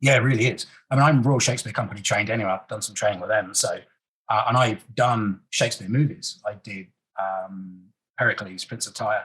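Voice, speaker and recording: This man has a British accent and a fairly low pitch. He talks at a fairly quick pace with ordinary pitch variation. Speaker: actor. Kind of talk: interview, casual chat.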